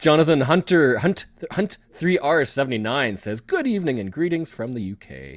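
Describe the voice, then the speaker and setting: Speaking in a Canadian accent, a man with a plain, everyday voice and fairly high pitch uses lively intonation and big swings in loudness. The recording is very clean with a silent background. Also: moderate pace. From Canada. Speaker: geocaching vlogger, live stream host. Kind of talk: live stream chat.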